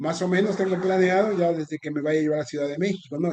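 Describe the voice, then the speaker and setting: His pitch moves in an ordinary way. The man keeps up a fairly quick pace. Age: 60s. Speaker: sports journalist. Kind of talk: casual chat. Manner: halting.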